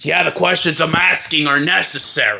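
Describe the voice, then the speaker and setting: A man doing a put-on character voice. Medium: audio drama. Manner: questioning, cautious.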